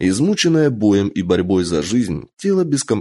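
A person reads aloud in a natural voice.

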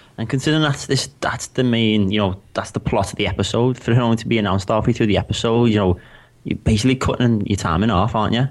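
A man talks in a Liverpool accent. His pace is very fast. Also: medium pitch for a man, ordinary pitch variation. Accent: Scouse. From Liverpool, England. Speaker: podcast co-host, designer. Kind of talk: casual chat.

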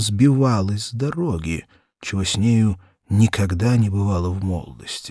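A man talks at a fairly slow pace with a slightly mellow tone. The recording is very clean, with a silent background.

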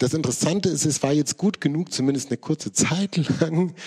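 At a moderate pace, a man with a fairly high pitch, a slightly mellow tone and a slightly husky edge speaks with ordinary pitch variation.

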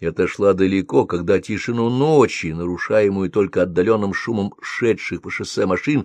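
Lively intonation paired with an unforced reading voice.

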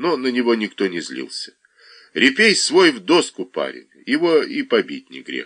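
The words are read out plainly. It is simple reading aloud.

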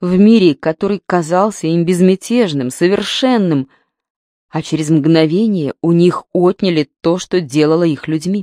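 A woman's fairly low-pitched voice with a dark, mellow tone and ordinary pitch variation, in a dry, close sound with no echo. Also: very clean recording, silent background.

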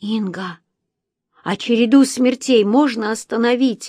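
A woman uses a put-on character voice that is raspy and shaky, with a fairly high pitch. Her intonation stays fairly even at a moderate pace. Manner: trembling, tearful.

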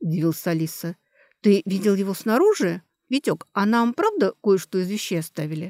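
Reading aloud in a natural voice, the speaker uses lively intonation over a quiet background.

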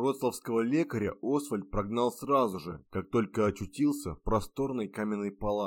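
Pitch moves in an ordinary way. The delivery is an unforced reading voice.

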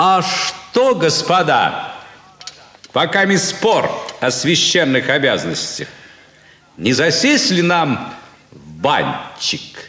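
Slow and put-on, a man's character voice carries a bright, sharp tone, a fairly high pitch, and big pitch swings.

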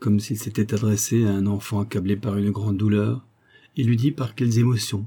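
The intonation is fairly even. Someone reads aloud in a natural voice.

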